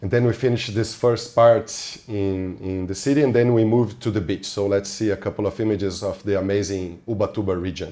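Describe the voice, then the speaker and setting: A man's fairly low, dark, mellow voice with a non-native accent, fairly even intonation and a fairly quick pace, on a very clean recording with a silent background. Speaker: podcast host and film fixer. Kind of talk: casual interview chat.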